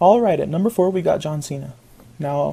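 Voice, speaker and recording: The voice carries a dark, mellow tone at a moderate pace with ordinary pitch variation. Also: man. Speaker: youtuber. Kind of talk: casual talk to camera.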